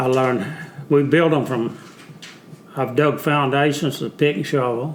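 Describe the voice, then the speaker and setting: Speech comes with a Southern US accent at a moderate pace, broken by long, frequent pauses. Noticeable background noise and audible room echo fill the recording. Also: man, fairly high pitch for a man. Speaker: Vietnam veteran. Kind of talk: casual interview. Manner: halting.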